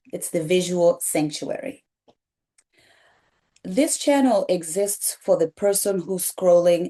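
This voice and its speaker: Dark, mellow female voice in a Kenyan accent, lively in intonation and fairly slow in pace. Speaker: pediatric nurse and wellness content creator. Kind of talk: reflective talk to camera. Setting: sitting on a couch on camera. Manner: gentle, soothing.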